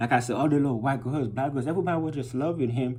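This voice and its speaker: A man speaks with a non-native accent, and room echo is audible. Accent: foreign. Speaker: vlogger. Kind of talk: casual monologue. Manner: hesitant, full of fillers.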